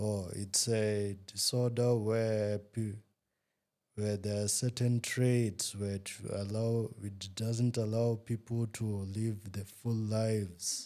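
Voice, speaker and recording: The recording is very clean, with a silent background. A man speaks in a dark, mellow tone at a fairly low pitch, monotone and flat, at a very slow pace. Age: young. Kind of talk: interview. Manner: brief, hesitant answers.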